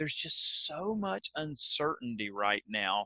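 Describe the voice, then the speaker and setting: The man's voice, in a Southern US accent, has a bright, sharp tone and a dry, close sound with no echo. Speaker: keynote speaker and author. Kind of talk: webinar presentation. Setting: video call.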